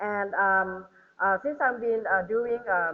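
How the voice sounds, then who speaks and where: A woman speaks at a fairly slow pace in a Thai accent. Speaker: government trade official, panelist. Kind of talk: panel talk. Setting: hotel ballroom seminar with audience. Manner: animated; hesitant, many fillers.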